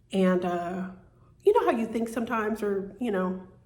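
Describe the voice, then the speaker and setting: A woman talks at a moderate pace and medium pitch, keeping her intonation fairly even. Room echo is audible. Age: 60s. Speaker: vlogger. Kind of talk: personal vlog monologue. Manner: halting, many fillers and repeats.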